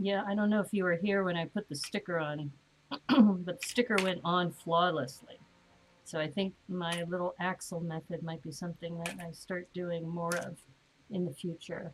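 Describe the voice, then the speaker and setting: Somewhat breathy, a woman speaks at a fairly low pitch. Her intonation stays fairly even. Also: moderate pace. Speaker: LEGO building streamer. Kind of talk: live stream building chat. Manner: casual, chatty.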